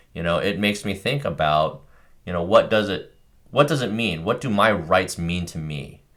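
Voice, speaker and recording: At a moderate pace, a man talks with lively intonation in a fairly low pitch. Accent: Californian. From California, Bay Area. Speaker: podcast co-host. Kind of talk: casual discussion. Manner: halting, many fillers.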